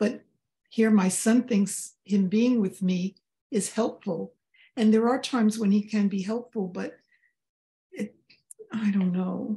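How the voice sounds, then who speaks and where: A woman's somewhat breathy, dark, mellow voice, fairly high in pitch, at a fairly slow pace with fairly even intonation and long, frequent pauses. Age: 80s. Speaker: session participant asking questions. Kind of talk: casual question to a spiritual guide. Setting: video call. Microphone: video call.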